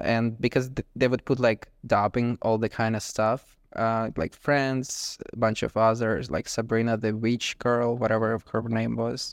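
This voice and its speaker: Flat, monotone delivery in a Ukrainian accent, at a fairly slow pace, with a dry, close sound and no echo. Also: man, medium pitch for a man. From Ukraine. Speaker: content creator and street interviewer. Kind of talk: casual interview. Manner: nervous.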